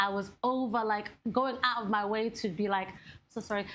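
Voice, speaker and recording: A woman with a Somali accent speaks at a fairly high pitch with fairly even intonation. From Somali family. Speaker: podcast co-host. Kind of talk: casual chat.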